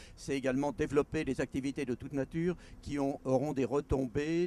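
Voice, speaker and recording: With a dark, mellow tone and fairly even intonation, a man talks at a medium pitch and a fairly quick pace in a dry, close sound with no echo. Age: 70s. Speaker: mayor. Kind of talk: interview answer.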